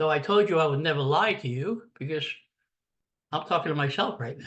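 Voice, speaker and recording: With a bright, sharp tone and a fairly high pitch, a man speaks at a moderate pace with ordinary pitch variation. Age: 70s. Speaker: podcast host. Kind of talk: casual monologue. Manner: conversational.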